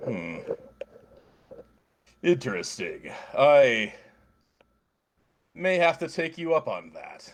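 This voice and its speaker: Putting on a character voice, a man speaks at a very slow pace with long, frequent pauses. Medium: actual play. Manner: measured, detached.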